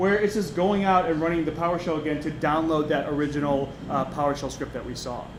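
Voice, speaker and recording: Against noticeable background noise and audible room echo, a man talks at a fairly quick pace. His voice is fairly high, with fairly even intonation. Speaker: security conference speaker. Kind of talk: conference talk with live demo. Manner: fast; hesitant with many fillers.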